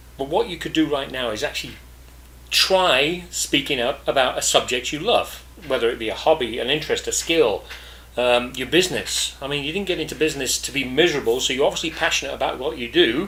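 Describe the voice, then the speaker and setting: Fairly quick speech from a man, noticeable background noise behind him. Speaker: podcast host, business networking coach. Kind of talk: podcast monologue. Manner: casual, with fillers and self-corrections.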